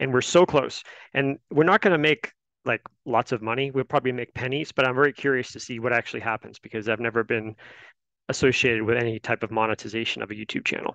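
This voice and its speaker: A man's bright, sharp voice at a very fast pace, with ordinary pitch variation, a dry sound with no echo and a quiet background. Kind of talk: meeting update. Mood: upbeat, casual. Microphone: headset.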